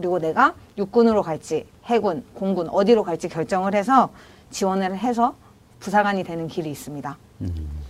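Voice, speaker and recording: A woman with an ordinary speaking voice, her medium pitch and lively intonation set at a moderate pace. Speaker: navy reserve officer. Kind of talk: casual interview.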